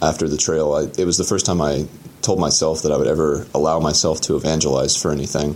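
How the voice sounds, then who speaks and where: Noticeable background noise sits under a voice with an American accent. The delivery is very fast and monotone, with very even loudness. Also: man, very deep, low pitch for a man. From Atlanta, Georgia, US. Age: 20s. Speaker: thru hiker. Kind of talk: solo audio diary.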